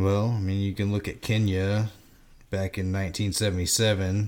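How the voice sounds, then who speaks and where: With an ordinary speaking voice, a man talks at a moderate pace and fairly low pitch on a very clean recording with a silent background. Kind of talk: casual chat.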